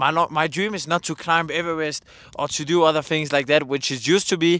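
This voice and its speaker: A man at a fairly quick pace, in a very clean recording with a silent background. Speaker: vlogger. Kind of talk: casual monologue. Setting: outdoors. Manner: fast.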